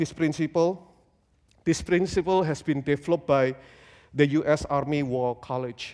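Speaking with an Indonesian accent, a man talks at a moderate pace and a fairly high pitch, with ordinary pitch variation. The recording is very clean and the background silent. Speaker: guest preacher. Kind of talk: sermon. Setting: church with congregation.

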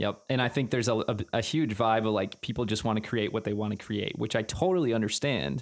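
A man with vocal fry and a fairly low pitch talks very fast with hardly any pauses, keeping his loudness very even and his pitch variation ordinary. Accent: American. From Wisconsin, Green Bay. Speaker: drummer and video creator. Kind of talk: casual chat.

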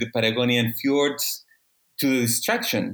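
This man has a medium pitch. His pace is fairly slow. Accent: Spanish. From Chile. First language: Spanish. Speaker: ocean policy expert. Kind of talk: casual interview. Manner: halting.

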